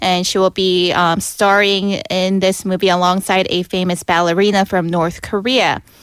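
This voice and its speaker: A woman speaks at medium pitch in an ordinary speaking voice, at a moderate pace. The recording is very clean and dry, with a silent background and a close sound with no echo. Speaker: K-pop news reporter. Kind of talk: casual chat. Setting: studio.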